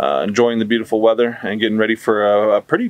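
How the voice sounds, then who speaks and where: This man talks at a very fast pace with fairly even intonation, and the recording is dry with no echo. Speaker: vlogger. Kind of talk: casual vlog chat. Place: garden. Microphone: phone near.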